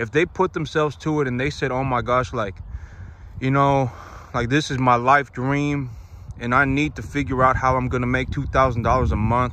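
The speech moves at a moderate pace with ordinary pitch variation, dry sound with no echo, and light background noise. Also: man. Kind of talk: casual vlog chat. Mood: earnest, reflective. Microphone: phone near.

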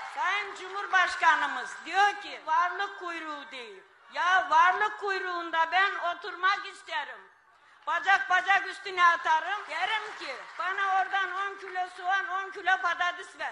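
Projected and raised, the voice has a bright, sharp tone, fairly even intonation and a fairly slow pace, with light background noise. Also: woman, extremely high pitch for a woman. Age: 70s. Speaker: elderly supporter at rally. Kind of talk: political rally speech. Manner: emotional, impassioned. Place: stage. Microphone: handheld.

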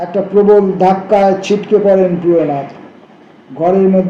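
Reading in an unforced voice

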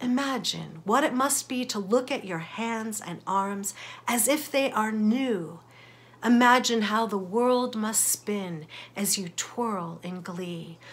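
The voice is somewhat breathy and the pace very slow. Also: woman, ordinary pitch variation. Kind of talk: sermon reflection. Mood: earnest, reflective, warm. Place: home room. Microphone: phone near.

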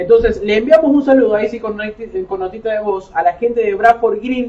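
A man talks at a fairly quick pace in a high pitch with ordinary pitch variation. His tone is dark and mellow.

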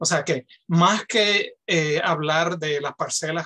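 Over a quiet background, a man speaks in a monotone, flat intonation with a bright, sharp tone and fairly high pitch. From Puerto Rico. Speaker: professor. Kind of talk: panel discussion. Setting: video call. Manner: halting. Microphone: video call.

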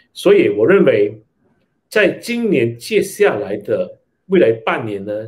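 The background stays silent. A man talks very slowly. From Malaysia. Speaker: businessman and feng shui forecaster. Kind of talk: interview. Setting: video call. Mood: serious, earnest. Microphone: webcam.

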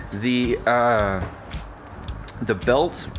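A man speaks with music in the background. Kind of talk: tutorial. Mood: relaxed, pleased. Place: workshop. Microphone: phone near.

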